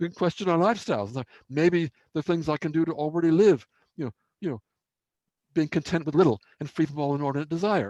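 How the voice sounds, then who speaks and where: Fairly high in pitch, a man speaks very fast in a dark, mellow tone with ordinary pitch variation and long, frequent pauses, the sound dry and close with no echo. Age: 70s. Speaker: environmental expert and webinar speaker. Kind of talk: webinar Q&A. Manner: reflective, with frequent fillers.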